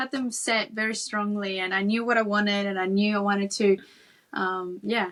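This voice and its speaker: A woman with a Spanish accent and fairly even intonation. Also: medium pitch for a woman, moderate pace. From Peru (Lima), moved to Sydney at 11. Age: 30s. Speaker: Olympic volleyball player. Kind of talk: interview conversation.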